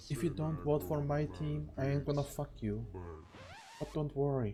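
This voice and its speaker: The speaker is soft-spoken and keeps to a fairly slow pace. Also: man. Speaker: vtuber streamer. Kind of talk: reaction commentary.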